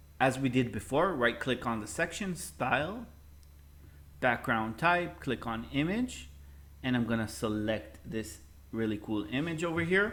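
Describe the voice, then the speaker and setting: With a non-native accent, a man of medium pitch speaks at a fairly slow pace, showing vocal fry and very wide pitch swings. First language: not English. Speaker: web design teacher. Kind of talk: tutorial. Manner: casual.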